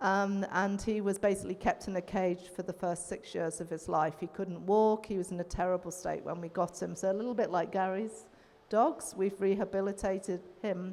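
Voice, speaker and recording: A woman with an English accent, medium in pitch, at a moderate pace with fairly even intonation and hardly any pauses. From England. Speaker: veterinarian. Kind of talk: panel discussion.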